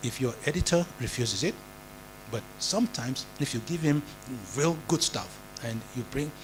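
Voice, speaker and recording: Delivered at a moderate pace with lively intonation, the speech has long, frequent pauses and vocal fry. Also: man, medium pitch for a man. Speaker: journalism educator. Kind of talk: lecture. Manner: halting.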